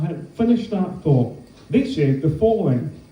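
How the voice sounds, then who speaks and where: Pitch swings very widely at a moderate pace. Room echo is audible. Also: man. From Scotland. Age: 30s. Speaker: comedian. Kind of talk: stand-up.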